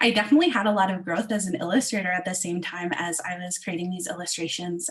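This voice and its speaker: Over noticeable background noise, a woman talks very fast with hardly any pauses. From Southwestern Ontario, Canada. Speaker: illustrator and children's book author. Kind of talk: online event presentation. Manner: halting, many fillers.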